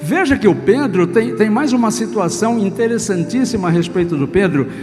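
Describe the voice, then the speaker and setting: With music playing in the background, a man speaks at a high pitch, his voice swinging very widely up and down. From Brazil, São Paulo state. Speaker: Presbyterian pastor; trained radio and TV announcer. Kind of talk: sermon preached to a congregation.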